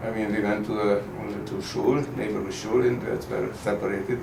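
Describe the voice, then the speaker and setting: Moderate-paced speech by a man, with noticeable background noise and audible room echo. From Hungary, Budapest. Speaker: Holocaust survivor. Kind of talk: oral history interview. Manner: halting.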